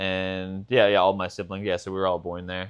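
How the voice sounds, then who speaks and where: At a moderate pace, a man talks in a fairly low voice with monotone, flat intonation. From US, Boston. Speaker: podcast co-host. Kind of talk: casual chat.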